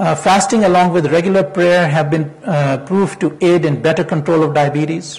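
Talking at a moderate pace with hardly any pauses, a man uses a high voice, fairly even intonation and very even loudness. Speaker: physician; presenter. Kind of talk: lecture. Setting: stage with audience. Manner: formal. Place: hall. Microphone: lapel.

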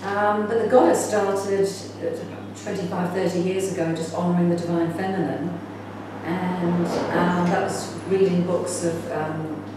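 Strong room echo and noticeable background noise surround a voice that moves at a fairly slow pace with ordinary pitch variation. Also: woman. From England, then New Zealand from age 14. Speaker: spiritual teacher and film director. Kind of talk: conference talk. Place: home room. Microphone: camera far.

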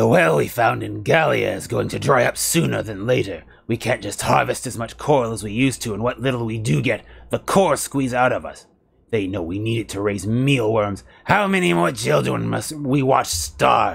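A man's put-on character voice, growling at a medium pitch and a moderate pace. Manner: silly.

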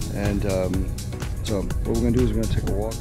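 The man's voice is dry and echo-free, set over clear background music. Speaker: vlogger. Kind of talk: casual vlog chat. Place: waterside. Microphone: phone near.

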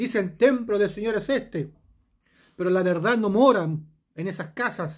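A man speaks at a fairly slow pace. The background is quiet. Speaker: preacher. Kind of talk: sermon with scripture reading, rhetorical questions to the listener and closing prayer. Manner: earnest, pastoral, exhorting the listener directly. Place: home room. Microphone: phone near.

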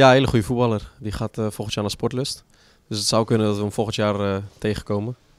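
Very fast speech from a man with a fairly low pitch and fairly even intonation, on a very clean recording with a silent background. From Netherlands, Utrecht. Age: 30s. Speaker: footballer. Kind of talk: interview.

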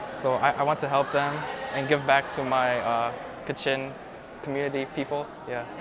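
Against noticeable background noise, a fairly high-pitched man talks at a moderate pace in a monotone, flat way, leaving long, frequent pauses. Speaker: student. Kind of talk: interview. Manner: halting.

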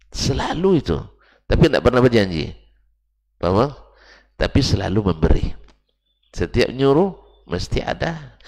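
Over a quiet background, a man with vocal fry talks at a moderate pace, his pitch swinging very widely, with long, frequent pauses. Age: 50s. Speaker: Islamic preacher. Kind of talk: religious lecture. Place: church. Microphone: headset.

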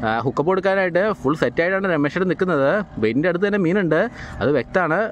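Delivered at a very fast pace, the voice has a lively intonation. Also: man.

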